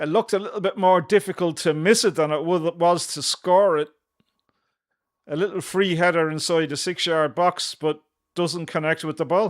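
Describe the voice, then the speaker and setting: On a very clean recording with a silent background, a man speaks at a moderate pace with a high pitch and fairly even intonation. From Ireland. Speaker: football fan channel host. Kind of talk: live watchalong commentary.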